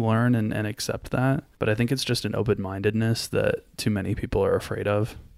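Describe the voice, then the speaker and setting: With an American accent, a man of medium pitch speaks in a plain, everyday voice. His fairly even intonation moves at a fairly quick pace over a very clean recording with a silent background. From US South, Florida. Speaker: podcast guest. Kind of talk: casual chat.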